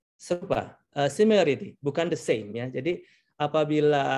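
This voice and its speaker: A man with a Javanese accent, fairly high in pitch, at a moderate pace and with lively intonation. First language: Javanese (speaking Indonesian). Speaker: translator. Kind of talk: lecture.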